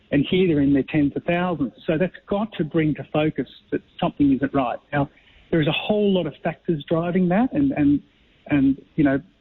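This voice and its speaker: Speaking at a moderate pace with an Australian accent, a man uses a fairly high pitch and ordinary pitch variation. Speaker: company co-founder and director. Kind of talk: radio interview. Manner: halting with repetitions.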